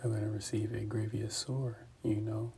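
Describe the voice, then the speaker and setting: A man speaks at a moderate pace and medium pitch in a somewhat breathy, dark, mellow voice with flat, monotone intonation. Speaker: religious teacher. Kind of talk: scripture teaching. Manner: stuttering at times.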